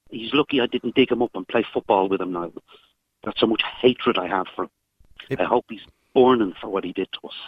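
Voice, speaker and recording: Moving at a fairly quick pace broken by long, frequent pauses, a man at medium pitch shows ordinary pitch variation and big swings in loudness. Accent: Irish. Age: 40s. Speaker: caller. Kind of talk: phone-in call, personal testimony. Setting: phone call from a vehicle.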